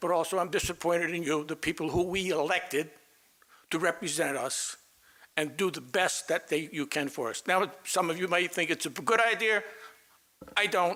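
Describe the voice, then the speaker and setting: This man has a high pitch and ordinary pitch variation. He speaks at a moderate pace. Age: 80s+. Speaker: resident speaking at public comment. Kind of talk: public comment at council meeting. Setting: town council meeting.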